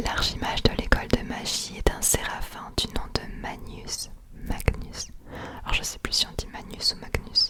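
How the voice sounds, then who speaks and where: Whispered words come at a fairly slow pace amid noticeable background noise. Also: woman. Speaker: ASMR creator. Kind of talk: fantasy lore reading. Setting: binaural recording.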